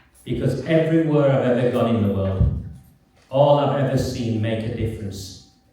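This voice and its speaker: Noticeable background noise and audible room echo, with a moderate pace and ordinary pitch variation. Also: man. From northern England, Oldham. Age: 50s. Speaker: campaigner and writer. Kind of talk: public talk. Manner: soft-spoken.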